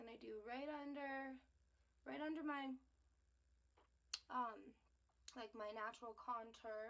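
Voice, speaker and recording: A woman speaks at a fairly slow pace with long, frequent pauses. Her pitch is high and her intonation fairly even. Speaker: beauty vlogger. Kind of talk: makeup tutorial.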